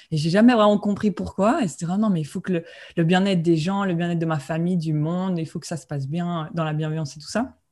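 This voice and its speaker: At a very fast pace, the voice has a dark, mellow, somewhat breathy tone and ordinary pitch variation, on a very clean recording with a silent background. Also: woman. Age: 20s. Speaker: spiritual coach and medium. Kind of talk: interview. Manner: halting.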